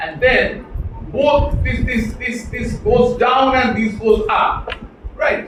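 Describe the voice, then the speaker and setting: A man with a Bengali accent speaks at a very slow pace. There is audible room echo and noticeable background noise. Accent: Bengali-accented Indian English. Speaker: professor. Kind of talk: lecture.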